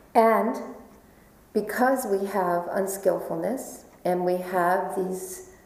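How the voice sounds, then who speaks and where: A woman with an American accent speaks at a medium pitch with ordinary pitch variation, and some room echo can be heard. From New York. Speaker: Buddhist meditation teacher. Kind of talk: dharma talk.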